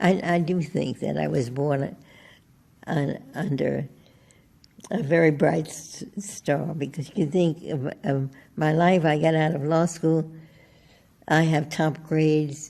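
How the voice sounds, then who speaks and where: A woman's very deep, low voice with a dark, mellow tone and vocal fry, fairly even intonation, a very slow pace and long, frequent pauses. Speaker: Supreme Court justice. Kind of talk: interview answer.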